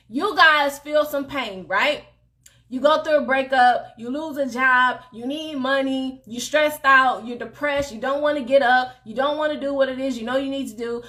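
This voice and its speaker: Raised and projected, a woman's high voice carries an animated, bright, sharp tone. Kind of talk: motivational faith talk. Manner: animated, loud.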